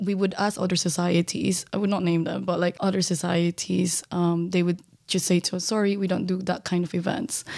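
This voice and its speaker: A woman with a fairly low pitch speaks at a fairly quick pace in a monotone, flat way, her loudness very even and hardly any pauses, on a very clean recording with a silent background. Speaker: former student society president, LGBTQ+ activist. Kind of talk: interview. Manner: shy.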